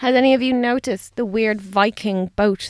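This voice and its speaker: A woman's voice with ordinary pitch variation and a dry, close sound with no echo. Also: very clean recording, silent background. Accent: Dublin. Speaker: radio host. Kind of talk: radio presenting. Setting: studio.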